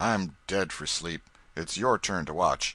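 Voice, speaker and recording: In a put-on character voice, a man speaks fairly slowly with a raspy, very deep, low pitch. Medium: read story. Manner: gruff, contemptuous.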